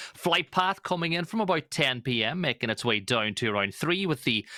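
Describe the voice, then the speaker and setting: In an Irish accent, a man speaks at a fairly quick pace with lively intonation and a bright, sharp tone, recorded dry and close with no echo. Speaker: esports caster. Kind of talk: live commentary.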